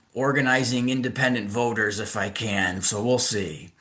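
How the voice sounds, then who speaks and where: The man's voice sits at a medium pitch with ordinary pitch variation. His tone is bright and sharp, with audible room echo. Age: 60s. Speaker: attorney and activist. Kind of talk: casual interview.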